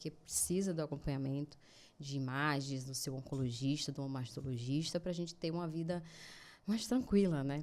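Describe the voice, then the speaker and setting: With a northeastern Brazilian accent, a woman speaks at a moderate pace in a dark, mellow tone. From Brazil, Natal, Rio Grande do Norte. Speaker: cancer survivor, project founder. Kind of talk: interview testimony.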